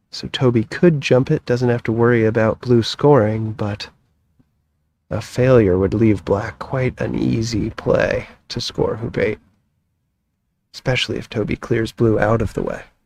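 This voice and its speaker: A man with an American accent and an unremarkable speaking voice talks fairly slowly at medium pitch with ordinary pitch variation. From United States. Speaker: croquet commentator. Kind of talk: live sports commentary.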